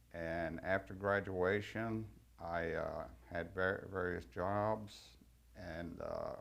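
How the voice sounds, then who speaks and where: Speaking very slowly in a Texan accent, a man with a very deep, low pitch is heard with audible room echo. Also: long, frequent pauses. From Texas, Fort Worth. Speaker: war veteran. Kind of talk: testimony. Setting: recorded interview.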